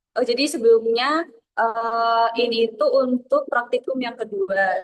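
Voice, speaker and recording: A woman speaks with fairly high pitch and fairly even intonation in an unremarkable speaking voice. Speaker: university student presenter. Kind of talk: online study session presentation.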